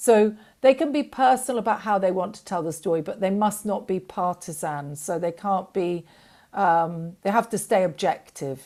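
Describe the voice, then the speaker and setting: A woman with an English accent, her tone dark and mellow, at a moderate pace on a very clean recording with a silent background. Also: medium pitch for a woman, lively intonation. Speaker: documentary fund representative. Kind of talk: panel interview. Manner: hesitant, many fillers.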